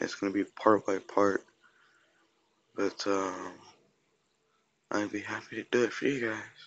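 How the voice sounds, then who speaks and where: A quiet man speaks with fairly low pitch at a fairly slow pace, the sound dry with no echo. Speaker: gaming youtuber. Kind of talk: gameplay commentary. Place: home room. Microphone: phone near.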